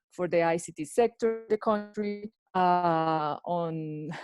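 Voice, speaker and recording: A woman's fairly low voice carries fairly even intonation in a dry, close sound with no echo. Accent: Spanish. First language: Spanish. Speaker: lawyer at a digital rights organization. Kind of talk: panel discussion. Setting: video call. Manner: halting.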